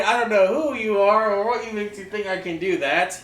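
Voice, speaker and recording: A man talks with ordinary pitch variation over audible room echo. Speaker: streamer and mask maker. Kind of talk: casual live stream chat. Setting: garage.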